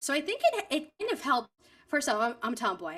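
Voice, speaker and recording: A woman speaks with a New York accent. Her bright, sharp tone swings very widely in pitch. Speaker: voice actor. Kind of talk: interview.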